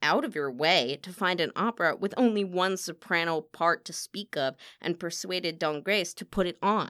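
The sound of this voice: The reading voice is unforced, and its pitch shifts in an ordinary way.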